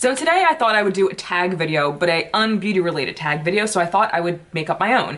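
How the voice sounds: Speaking at a fast pace, a woman uses lively intonation, a fairly low pitch and a fairly bright tone.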